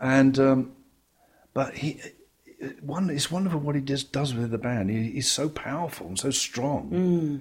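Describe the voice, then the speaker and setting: With an English accent, a man speaks in a fairly high, somewhat breathy voice, with ordinary pitch variation and long, frequent pauses. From England. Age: 70s. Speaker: jazz bassist. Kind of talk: interview.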